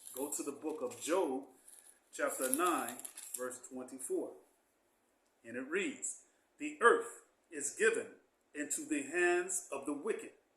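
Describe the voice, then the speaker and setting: Audible room echo surrounds a man talking at a fairly slow pace. He leaves long, frequent pauses. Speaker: Bible teacher. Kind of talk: Bible class.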